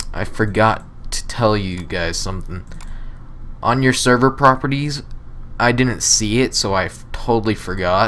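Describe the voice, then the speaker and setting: A man talks at a fairly slow pace in a medium pitch, with ordinary pitch variation and long, frequent pauses. Noticeable background noise runs behind him. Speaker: gaming YouTuber. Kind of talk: tutorial. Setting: screen recording. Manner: casual, chatty.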